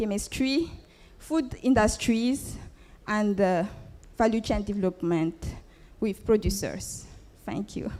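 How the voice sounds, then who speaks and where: Speaking at a very slow pace in a French accent, the voice has a dark, mellow tone, ordinary pitch variation, and long, frequent pauses. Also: woman, fairly high pitch for a woman. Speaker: entrepreneur. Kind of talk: business pitch; pitch competition Q&A. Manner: halting.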